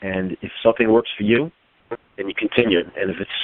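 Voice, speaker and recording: A man speaks at a fairly quick pace and medium pitch. He has an ordinary speaking voice. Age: 50s. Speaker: powerlifter and firefighter. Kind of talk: casual interview chat.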